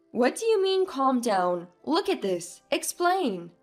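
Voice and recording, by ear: A put-on character voice at a slow pace with big pitch swings, over faint music in the background. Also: woman, high pitch for a woman.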